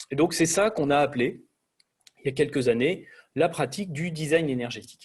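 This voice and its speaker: A man talks at a fairly quick pace with long, frequent pauses. His voice is fairly high and somewhat breathy, with ordinary pitch variation. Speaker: energy design engineer presenter. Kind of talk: lecture. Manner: fast.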